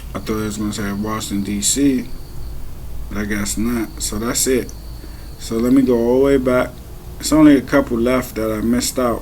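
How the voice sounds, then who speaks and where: A man with an American accent speaks quietly at a moderate pace, with long, frequent pauses. Audible room echo and noticeable background noise surround him. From Maryland, US. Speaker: vlogger. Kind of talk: casual monologue.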